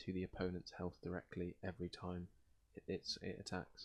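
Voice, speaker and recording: A soft-spoken man with a very deep, low pitch and a British accent. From Britain. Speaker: ASMR gaming video host. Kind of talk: casual gameplay commentary and rambling.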